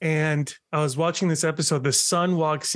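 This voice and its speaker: The sound is dry, with no echo. A man talks at a fairly slow pace. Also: quiet background. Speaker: podcaster and bariatric surgery patient. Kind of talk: casual interview chat. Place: home room. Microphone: video call.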